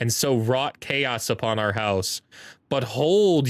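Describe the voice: The speaker reads aloud plainly with lively intonation.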